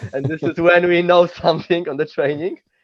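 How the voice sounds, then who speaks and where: A man speaks at a moderate pace with a Polish accent. The sound is dry and close, with no echo. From Poland. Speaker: mountainboarder and instructor. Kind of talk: casual chat. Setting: video call.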